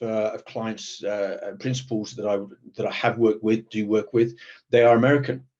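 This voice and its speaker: A man with a British accent speaks in a dark, mellow tone. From Britain. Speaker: protective security professional. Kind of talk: panel discussion. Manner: hesitant, many repetitions.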